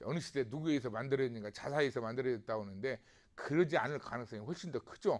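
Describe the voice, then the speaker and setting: A man talks at a medium pitch. The recording is very clean and the background silent. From South Korea, Namwon, North Jeolla. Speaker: professor. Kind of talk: lecture. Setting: recorded video lecture. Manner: conversational, with frequent rhetorical questions.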